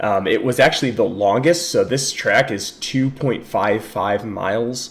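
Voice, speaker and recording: A man talks at a fairly slow pace and a medium pitch, with ordinary pitch variation. Noticeable background noise sits behind him. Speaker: car racing youtuber. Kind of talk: livestream commentary. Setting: livestream with chat. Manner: hesitant, filler words.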